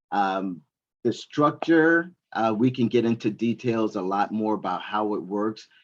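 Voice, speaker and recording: Against a quiet background, a man talks at a moderate pace with a fairly low pitch and lively intonation. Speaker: certification trainer, military veteran. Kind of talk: presentation to university students. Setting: classroom audience with online attendees. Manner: animated.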